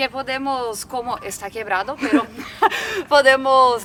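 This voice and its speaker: A woman speaks very slowly with a Brazilian accent. Noticeable background noise runs underneath. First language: Portuguese (speaking Spanish). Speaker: van-life traveler. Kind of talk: motorhome tour. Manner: halting.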